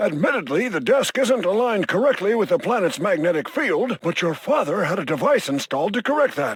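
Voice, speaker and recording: A man puts on a character voice, high in pitch and swinging very widely. He talks at a fairly quick pace with hardly any pauses. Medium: video game. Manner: dry, scornful.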